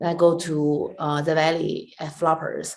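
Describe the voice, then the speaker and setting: A woman speaks with a Chinese accent. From China. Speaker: stand-up comedian and comedy club owner. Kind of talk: interview. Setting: video call.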